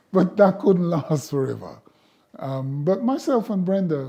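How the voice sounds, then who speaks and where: The voice is somewhat breathy, with a dark, mellow tone. It moves at a moderate pace with lively intonation. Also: man. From Jamaica. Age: 70s. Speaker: sculptor and community elder. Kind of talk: oral history interview.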